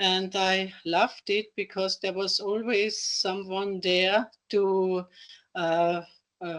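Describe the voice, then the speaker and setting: A woman with an Austrian accent speaks at a very slow pace, her medium pitch holding fairly even intonation. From Austria, Carinthia. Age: 60s. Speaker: retired teacher, table tennis player with Parkinson's. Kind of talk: interview. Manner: halting.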